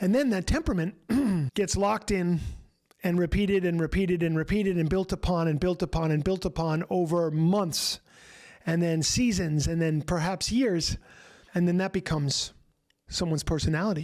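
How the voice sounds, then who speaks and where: A man with an American accent speaks at a high pitch with very even loudness. The recording is very clean, with a silent background. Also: ordinary pitch variation, moderate pace. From New York City. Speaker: recovery coach and group host. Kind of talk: group coaching talk.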